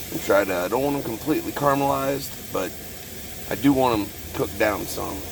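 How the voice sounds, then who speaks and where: A man talks at a fairly quick pace with ordinary pitch variation. Noticeable background noise and audible room echo are present. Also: medium pitch for a man. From Texas. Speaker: homesteader vlogger. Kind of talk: casual cooking vlog. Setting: outdoors, cooking in truck cab in parking lot.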